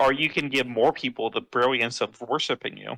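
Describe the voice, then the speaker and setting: A man puts on a character voice. His pitch sits in the medium range and his pace is fairly quick. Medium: actual play. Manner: rambling, grumbling.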